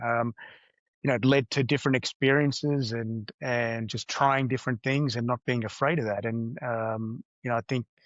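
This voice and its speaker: A man speaks with an Australian accent. His intonation is fairly even. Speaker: business executive. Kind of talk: interview. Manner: hesitant, many fillers.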